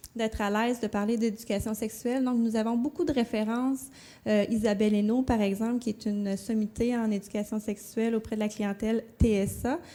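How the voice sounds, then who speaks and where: Over a very clean recording with a silent background, a woman with a dark, mellow tone and a fairly high pitch speaks at a fairly quick pace, her loudness very even and her intonation fairly even. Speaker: conference presenter. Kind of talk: conference presentation. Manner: hesitant, many fillers.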